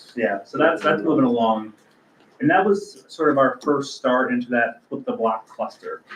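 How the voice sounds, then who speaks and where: Over noticeable background noise, a man talks at a moderate pace in a fairly high pitch with very wide pitch swings. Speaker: land bank staff member reporting to board. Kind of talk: board meeting project update. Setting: board meeting, livestreamed.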